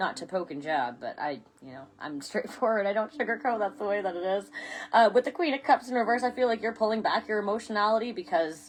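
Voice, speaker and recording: A woman talks at a very fast pace with a fairly high pitch, vocal fry and very wide pitch swings. Her loudness also rises and falls sharply. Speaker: tarot reader. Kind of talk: live-streamed tarot reading. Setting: Facebook live stream. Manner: halting, self-correcting.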